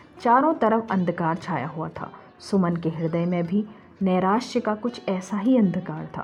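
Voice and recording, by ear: Speaking at a fairly slow pace, a woman has a fairly low pitch and a slightly mellow tone. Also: ordinary pitch variation.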